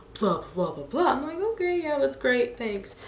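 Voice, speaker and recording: The speaker has an American accent. Room echo is audible, along with noticeable background noise. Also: woman. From Chicago, US. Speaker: lifestyle blogger. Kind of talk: casual chat. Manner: animated.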